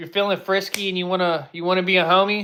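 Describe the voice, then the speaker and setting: On a very clean recording with a silent background, a man with an American accent talks at a very fast pace in a high pitch. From Texas. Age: 20s. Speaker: livestreamer, Army veteran. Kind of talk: casual livestream chat. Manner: casual, halting with fillers.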